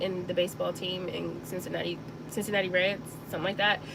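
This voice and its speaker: A woman talks with an American accent against noticeable background noise. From US South, Mississippi Delta. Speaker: sewing channel host. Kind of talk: casual chat during live stream. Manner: casual, filler-heavy.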